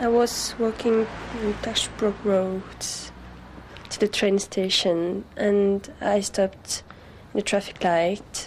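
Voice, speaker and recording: Noticeable background noise sits behind a woman speaking in a French accent. She talks at a very slow pace and a medium pitch, with fairly even intonation. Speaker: crime victim, au pair. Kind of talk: testimony.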